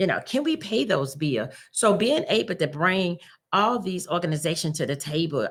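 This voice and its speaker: A woman in a Southern US accent, with lively intonation, at a moderate pace. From US South. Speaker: community organization leader. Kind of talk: interview.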